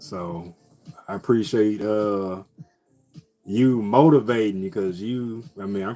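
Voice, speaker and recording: A man's fairly low voice with ordinary pitch variation and music in the background. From US Midwest, St. Louis. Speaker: live streamer. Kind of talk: casual chat. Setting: live stream. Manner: animated.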